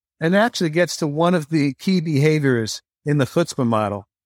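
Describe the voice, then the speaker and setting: A man speaks at a moderate pace with very wide pitch swings, the sound dry and close with no echo. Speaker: author. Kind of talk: casual interview chat. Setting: remote call.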